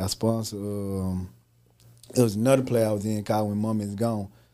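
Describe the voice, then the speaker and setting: A man with a Southern US accent speaks at a moderate pace and fairly low pitch, in a dark, mellow tone with monotone, flat intonation. The recording is very clean, with a silent background. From Mississippi, Holly Springs. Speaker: actor and entrepreneur. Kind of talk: casual interview chat.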